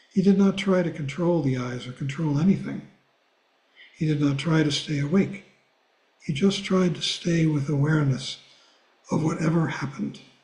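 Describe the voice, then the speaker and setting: Audible room echo surrounds a man speaking at a fairly high pitch and a moderate pace. He uses ordinary pitch variation and takes long, frequent pauses. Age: 80s+. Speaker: Buddhist teacher. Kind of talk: reading aloud; class discussion.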